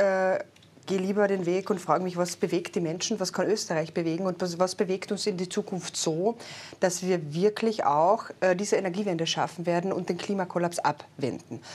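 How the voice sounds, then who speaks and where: In a very clean recording with a silent background, a woman with an unremarkable speaking voice talks at a fairly quick pace, her pitch medium and her intonation fairly even. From Austria, Carinthia. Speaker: politician, party secretary general. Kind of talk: political interview. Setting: studio.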